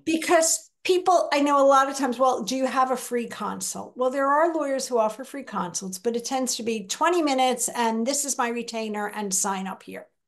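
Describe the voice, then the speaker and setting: Fairly quick delivery with hardly any pauses, big swings in loudness and ordinary pitch variation, against a quiet background. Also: woman, high pitch for a woman. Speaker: guest. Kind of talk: interview answer. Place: home room. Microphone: video call.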